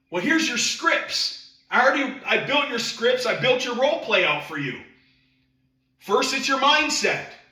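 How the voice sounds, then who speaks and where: A man talks in an extremely high pitch with ordinary pitch variation at a moderate pace. The room echo is audible. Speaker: sales trainer. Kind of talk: sales training presentation. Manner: animated.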